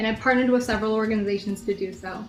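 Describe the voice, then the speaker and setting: Against noticeable background noise, a woman speaks at a fairly high pitch in a monotone, flat intonation. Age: 20s. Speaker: beauty pageant contestant. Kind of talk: pageant interview. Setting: video call.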